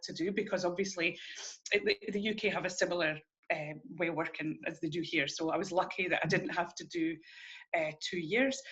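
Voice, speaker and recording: A woman in a Scottish accent, medium pitch, ordinary pitch variation and a fairly quick pace. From Scotland. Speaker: early childhood educator. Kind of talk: interview.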